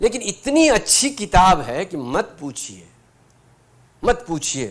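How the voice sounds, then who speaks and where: A man with a Bihari accent and high pitch, with very wide pitch swings and big swings in loudness. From Bhojpuri-speaking region, India. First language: Bhojpuri (speaking Hindi). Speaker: guest speaker, retired senior civil servant. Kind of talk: inspirational talk with personal anecdotes. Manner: conversational, with frequent hesitations.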